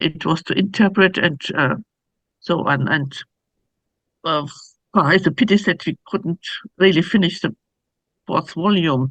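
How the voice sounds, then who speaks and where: Moderate pace against a quiet background. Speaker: scholar, forum speaker. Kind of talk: academic talk. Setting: public forum at a university. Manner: halting, many fillers and restarts.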